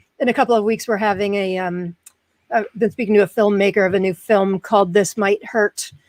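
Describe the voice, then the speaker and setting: A woman at a medium pitch, fairly quick and fairly even in intonation, with a dry, close sound with no echo. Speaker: podcast host with chronic pain. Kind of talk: casual interview chat.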